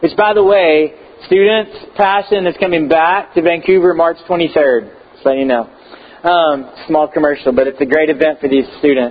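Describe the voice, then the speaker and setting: A man with an American accent at a fairly high pitch, moderate pace, ordinary pitch variation and very even loudness, with noticeable background noise. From Texas. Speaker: pastor. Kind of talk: sermon. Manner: hesitant, many fillers.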